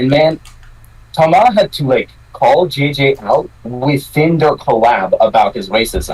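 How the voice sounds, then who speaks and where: A man talks at a fairly slow pace. He speaks with a Quebec accent. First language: French. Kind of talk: casual chat.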